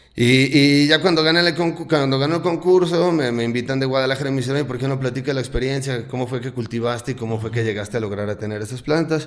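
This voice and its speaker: A man at a very fast pace with hardly any pauses. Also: ordinary pitch variation. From Mexico, Jalisco (Lagos de Moreno); Jalisco, Mexico. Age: 30s. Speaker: cannabis cultivation workshop instructor; podcast guest. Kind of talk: casual interview chat. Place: studio. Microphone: studio mic.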